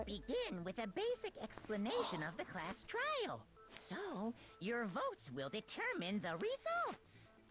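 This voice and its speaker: Over clear background noise, a put-on character voice moves at a fairly slow pace. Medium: video game. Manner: cheerful, menacing.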